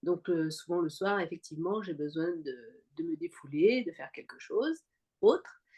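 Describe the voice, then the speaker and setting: Ordinary pitch variation colors a woman's fairly slow speech. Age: 60s. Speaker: cancer survivor, fitness program member. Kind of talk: interview testimony. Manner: halting, many fillers.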